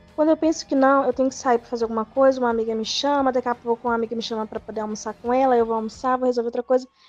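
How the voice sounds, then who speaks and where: Delivered at a very fast pace with hardly any pauses and fairly even intonation, the voice has a dry, close sound with no echo while music plays in the background. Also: woman, high pitch for a woman. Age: 20s. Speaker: photoshoot client. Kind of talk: casual chat.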